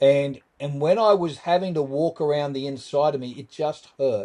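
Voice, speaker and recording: Speaking fairly slowly with an Australian accent, a man has a fairly high pitch, ordinary pitch variation and a dark, mellow tone. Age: 60s. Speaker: trauma survivor and author. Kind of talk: podcast interview.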